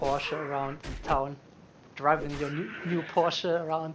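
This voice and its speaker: Speaking with a German accent, a man uses a fairly high pitch and a monotone, flat intonation at a fairly slow pace. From Germany. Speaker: video game streamer. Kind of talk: live gaming stream chat. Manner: halting.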